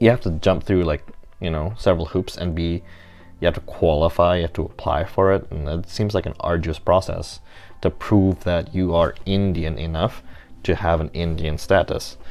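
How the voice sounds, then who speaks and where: This man has a very deep, low pitch and speaks at a moderate pace. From Indonesia. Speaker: student. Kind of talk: spoken course reflection. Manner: hesitant, many fillers.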